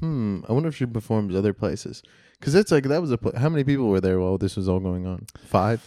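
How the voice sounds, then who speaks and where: A man speaks at a very fast pace with lively intonation, his dark, mellow tone sitting at a fairly low pitch. The recording is very clean, with a silent background. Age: 30s. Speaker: podcast co-host, comedian. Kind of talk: casual chat.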